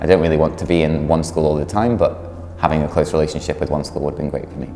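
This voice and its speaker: Very fast speech in an English accent, fairly even in intonation, with audible room echo and music in the background. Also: man, very deep, low pitch for a man. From England. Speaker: former volunteer, researcher. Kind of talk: interview answers. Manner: casual, with many fillers.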